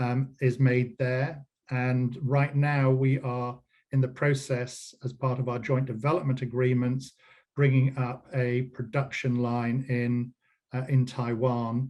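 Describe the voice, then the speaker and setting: With an English accent, a man talks at a very slow pace in a medium pitch, his intonation monotone and flat. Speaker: company CEO. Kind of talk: business interview. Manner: hesitant, many fillers.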